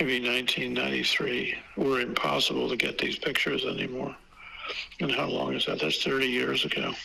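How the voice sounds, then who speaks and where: With an American accent, a man speaks at a fairly quick pace and very even loudness, amid audible room echo and noticeable background noise. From California, US. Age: 80s+. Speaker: photographic historian and collector. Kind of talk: interview. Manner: halting, many fillers and repeats.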